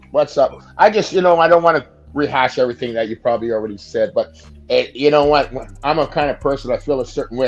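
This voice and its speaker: Music plays in the background as a man speaks at a very fast pace. His voice is fairly high-pitched, with lively intonation. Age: 60s. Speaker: caller on sports show. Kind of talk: casual opinion talk.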